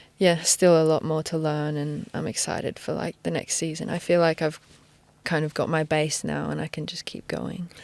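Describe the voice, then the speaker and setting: A woman with an English accent speaks at a moderate pace and a very deep, low pitch. Her intonation is monotone and flat. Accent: English accent picked up. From Australia. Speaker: professional footballer. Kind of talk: casual interview. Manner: hesitant, many fillers.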